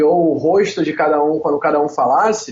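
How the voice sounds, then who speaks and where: A man in a Rio de Janeiro accent speaks with ordinary pitch variation. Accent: carioca. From Rio de Janeiro, Brazil. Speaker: podcast co-host. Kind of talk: casual chat.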